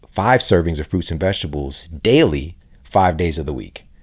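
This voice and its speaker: At a moderate pace, the speaker talks with an American accent on a very clean recording with a silent background. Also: man. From US, inner city. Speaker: health podcast host and author. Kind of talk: interview conversation. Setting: podcast studio.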